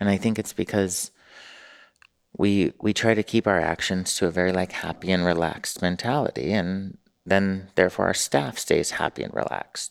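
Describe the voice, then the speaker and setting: A man speaks with an American accent. His pitch is fairly low, with ordinary pitch variation. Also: very clean recording, silent background. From US West Coast, Newport Beach, California. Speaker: mayor and restaurant owner. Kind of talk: casual interview. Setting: studio.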